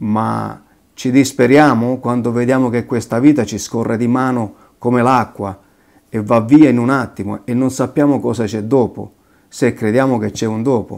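Against a quiet background, a man with a medium-pitched voice speaks at a moderate pace with fairly even intonation. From southern Italy. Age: 50s. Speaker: convert giving faith testimony. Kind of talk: testimony. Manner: halting. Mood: earnest, reflective. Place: kitchen.

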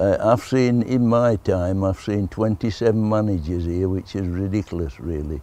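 A man with a Yorkshire accent, a dark, mellow tone and a fairly low pitch with ordinary pitch variation, at a moderate pace with hardly any pauses, in a dry sound with no echo. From Barnsley, Yorkshire. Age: 80s+. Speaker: football kit man, former goalkeeper. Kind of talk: interview answer. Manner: casual, plain-spoken.

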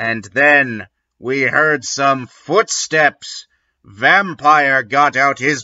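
Plain reading aloud plays out with little behind it but quiet.

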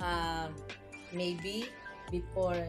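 Clear music plays behind a woman as she talks. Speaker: channel host, online content creator. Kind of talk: casual talk-show host talking to camera. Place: home room. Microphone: phone near.

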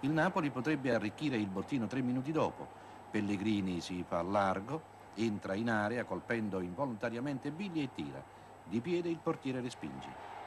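Here a man speaks at a fairly quick pace. His pitch swings very widely. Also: medium pitch for a man. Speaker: sports commentator. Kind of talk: 1980s TV football highlights commentary, voiced over match footage. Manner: fluent, polished journalistic delivery.

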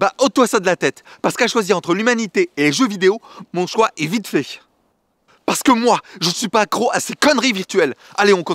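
Over a quiet background, a man talks fairly quickly with lively intonation, the sound dry with no echo. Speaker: actor in a fiction sketch. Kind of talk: scripted dialogue. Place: forest.

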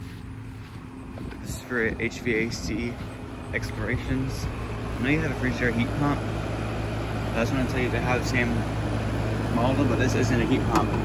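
The speaker talks at a fairly slow pace over loud background noise. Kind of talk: casual vlog chat. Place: garden. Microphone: phone near.

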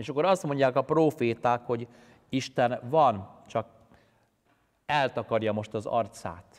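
Leaving long, frequent pauses, a man speaks at a fairly slow pace with ordinary pitch variation over a quiet background. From Hungary, Pest county; Hungary. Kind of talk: sermon. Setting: church. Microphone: lapel.

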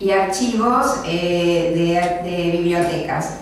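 A woman's voice in strong room echo, with light background noise. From Argentina, Quilmes (Buenos Aires). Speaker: library director. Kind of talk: lecture. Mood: warm, grateful. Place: meeting room.

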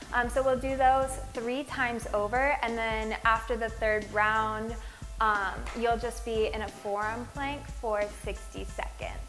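A woman talks at a fairly slow pace while clear music runs behind her. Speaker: fitness instructor. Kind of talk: tutorial. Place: empty room. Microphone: lapel.

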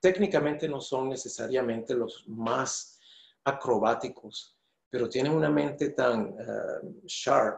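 Against a quiet background with audible room echo, a man speaks very slowly in a somewhat breathy voice. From Venezuela. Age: 50s. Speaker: choreographer and dancer. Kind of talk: interview answer. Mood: thoughtful, earnest. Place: home room.

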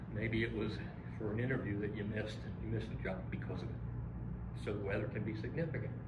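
A man with an American accent talks at a moderate pace. Loud background noise runs throughout. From US Northeast (Philadelphia). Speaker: college English instructor. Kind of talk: lecture. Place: classroom. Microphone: camera far.

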